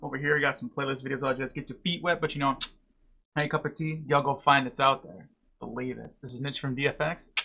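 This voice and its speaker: Very fast speech comes from a man whose tone is bright and sharp. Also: fairly even intonation. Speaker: reaction video creator. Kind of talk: casual vlog chat. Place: home room.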